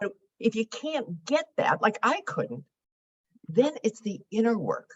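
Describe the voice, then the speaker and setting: Lively intonation and a somewhat breathy quality mark a woman speaking at a moderate pace. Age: 70s. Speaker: financial therapist and author. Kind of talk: interview conversation.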